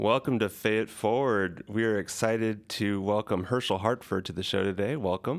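In a very clean recording with a silent background, a man talks in a normal speaking voice at a fairly low pitch, with fairly even intonation, a moderate pace and hardly any pauses. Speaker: podcast co-host. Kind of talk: casual chat.

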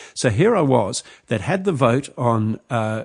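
A man talks with a New Zealand accent over a quiet background. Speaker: journalist and author. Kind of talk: interview.

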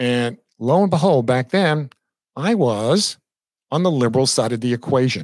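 A man speaks with an American accent. His pitch sits at a medium level. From Long Island, New York. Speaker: real estate broker and instructor. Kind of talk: casual solo livestream monologue. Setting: live stream.

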